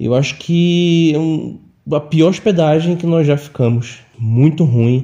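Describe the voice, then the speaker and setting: Very slowly, a man with a fairly high pitch speaks in a dark, mellow tone. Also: ordinary pitch variation. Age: 30s. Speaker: listener sharing ghost stories. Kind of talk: personal storytelling. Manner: halting, many fillers.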